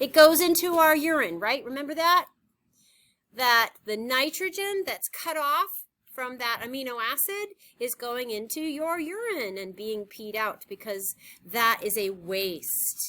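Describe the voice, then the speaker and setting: A woman's high, bright, sharp voice, raised and projected, with very wide pitch swings, big swings in loudness and a fairly slow pace. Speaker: high school biology teacher. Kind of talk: lecture.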